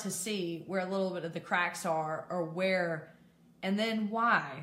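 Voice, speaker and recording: Audible room echo and noticeable background noise, with ordinary pitch variation at a moderate pace. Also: woman. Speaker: mental health advocate and peer support specialist. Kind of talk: live video talk. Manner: loud; animated.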